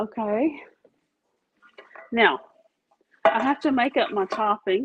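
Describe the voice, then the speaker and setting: A woman's fairly high voice with a Louisiana accent, very slow, with lively intonation. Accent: Louisiana Southern. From Louisiana, Catahoula Parish. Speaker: home baking video host. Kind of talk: casual cooking demonstration.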